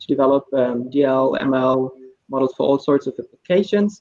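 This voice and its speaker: This man has a German accent and a fairly high pitch. He talks at a fairly quick pace with ordinary pitch variation. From Germany (Hamburg). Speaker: AI researcher and assessment team lead. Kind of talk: panel discussion.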